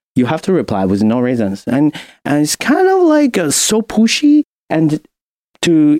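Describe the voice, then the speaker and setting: The sound is dry and close, with no echo, as a man speaks with a Chinese accent. His fairly high pitch swings very widely. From China. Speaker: music industry professional and graduate student. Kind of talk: casual podcast interview. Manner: halting with fillers.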